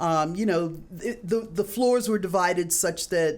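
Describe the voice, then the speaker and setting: The speaker goes at a fairly slow pace with music in the background. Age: 60s. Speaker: addiction therapist and clinical director. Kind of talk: podcast interview. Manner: hesitant, many fillers.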